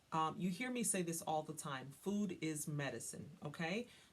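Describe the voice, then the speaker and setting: Somewhat breathy, a woman talks with an American accent. She keeps a moderate pace and ordinary pitch variation. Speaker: wellness coach. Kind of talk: tutorial. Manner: casual, conversational with frequent fillers.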